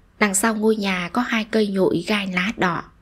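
This woman has a gentle, soothing tone and a somewhat breathy voice at medium pitch. She talks at a very slow pace. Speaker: story narrator. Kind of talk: short story reading.

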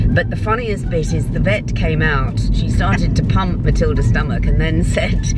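A woman's voice, dry with no echo, over loud background noise. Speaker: vlogger. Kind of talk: casual vlog chat. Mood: amused, laughing storytelling. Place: car. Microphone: phone near.

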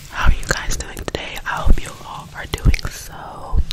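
A woman whispers. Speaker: ASMR creator. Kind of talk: ASMR whisper video. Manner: whispered. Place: home room. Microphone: studio mic.

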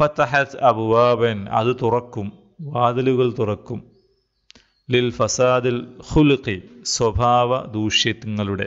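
A man talks in a plain, everyday voice at a medium pitch, keeping his intonation fairly even and his loudness very even. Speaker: Arabic teacher. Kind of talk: online class lecture.

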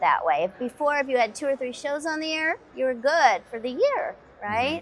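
A high-pitched woman's voice at a moderate pace, with lively intonation. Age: young-sounding. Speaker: voice actor. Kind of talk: interview answer. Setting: convention interview. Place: studio.

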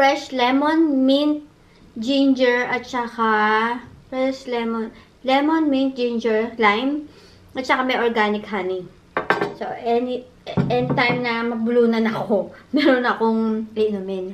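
A woman speaks at a very slow pace in a high voice. Her pitch variation is ordinary, with light background noise. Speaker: vlogger. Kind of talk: casual eating vlog chat. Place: home room. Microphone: phone near.

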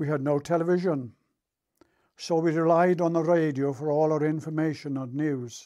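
Over a quiet background, a man speaks with a fairly high pitch, a dark, mellow tone and fairly even intonation. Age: 80s+. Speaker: war veteran. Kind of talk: recorded talk for schoolchildren. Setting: recorded tape. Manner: slow; formal.

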